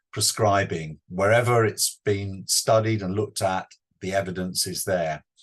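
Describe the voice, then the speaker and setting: Somewhat breathy, a man with a British accent speaks at a fairly low pitch and a moderate pace. His pitch varies in an ordinary way, and the background is quiet. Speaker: clinical pharmacology professor. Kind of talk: webinar lecture. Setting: online webinar.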